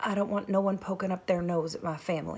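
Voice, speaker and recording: A woman does a put-on character voice in a Southern US accent, raspy and medium-pitched. She talks very fast with a monotone, flat delivery. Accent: rural Southern, "don't dress right". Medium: read story. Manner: weary, clipped.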